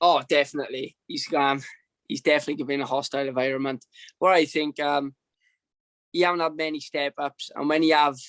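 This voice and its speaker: Here a man speaks with a Welsh accent at a fairly high pitch and a fairly quick pace. His intonation is flat and monotone, and the sound is dry and close with no echo. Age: 20s. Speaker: professional boxer. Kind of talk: interview. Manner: halting.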